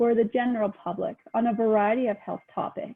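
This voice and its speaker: The voice is a plain, everyday voice. It moves at a moderate pace. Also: woman. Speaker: health information liaison officer. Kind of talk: presentation.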